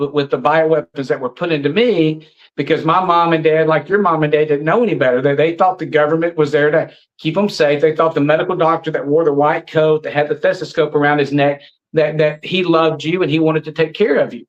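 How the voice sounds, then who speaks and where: A man with a Southern US accent at a fairly high pitch and a fairly quick pace. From US South, Alabama. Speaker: anti-vaccine activist. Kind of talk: interview. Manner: animated.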